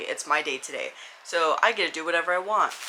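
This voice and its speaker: A woman with an American accent speaks in fairly even intonation against noticeable background noise. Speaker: lifestyle and book vlogger. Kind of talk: casual vlog chat. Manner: talkative.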